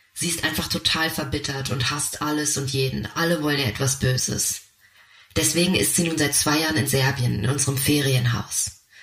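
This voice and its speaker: Against noticeable background noise, a man speaks at a moderate pace and a fairly high pitch. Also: ordinary pitch variation. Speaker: narrator. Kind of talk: scripted narration.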